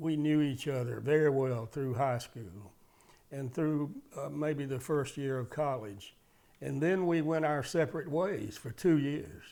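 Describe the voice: At a fairly slow pace, a man with a dark, mellow voice and medium pitch speaks with ordinary pitch variation.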